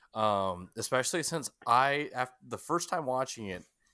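In a very clean recording with a silent background, a medium-pitched man with an American accent speaks in a bright, sharp tone with lively intonation. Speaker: podcast host. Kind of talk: casual chat. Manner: laughs often.

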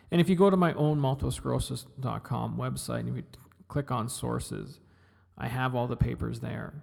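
A man with a Western Canadian accent. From British Columbia. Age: 40s. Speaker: podcast host. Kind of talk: solo podcast monologue. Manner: halting.

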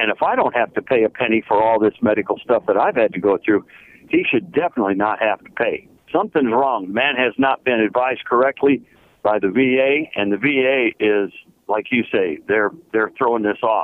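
With an unremarkable speaking voice, a man talks at medium pitch and a fairly quick pace, showing ordinary pitch variation and very even loudness. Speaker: caller, retired military veteran. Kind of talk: radio call-in.

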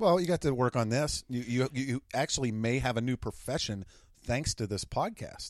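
A plain, everyday voice from a man at a medium pitch and a moderate pace, with ordinary pitch variation, dry and close with no echo, on a very clean recording with a silent background. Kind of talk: casual chat. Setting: home basement studio.

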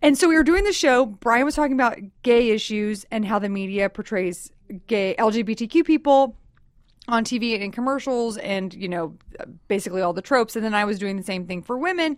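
This woman has a normal speaking voice, fairly high in pitch, with lively intonation and a fairly quick pace. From Texas. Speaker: comedian. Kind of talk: casual chat.

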